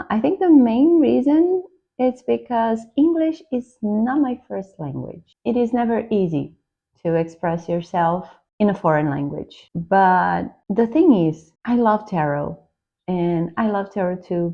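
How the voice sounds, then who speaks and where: A woman speaks at a fairly slow pace and medium pitch. Her pitch swings very widely. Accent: Brazilian Portuguese. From Brazil. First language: Portuguese. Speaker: tarot YouTuber. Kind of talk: casual vlog introduction. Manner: slightly halting.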